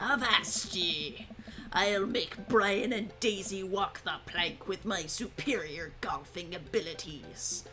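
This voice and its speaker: In a put-on character voice, a female-sounding speaker uses a medium pitch for a woman at a fairly slow pace, with clear background noise behind her. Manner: playful, exaggerated.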